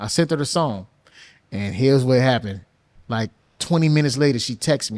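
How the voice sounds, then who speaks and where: In a New Orleans accent, a man speaks with lively intonation on a very clean recording with a silent background. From US South, New Orleans. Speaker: music producer and songwriter. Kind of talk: podcast interview, casual chat.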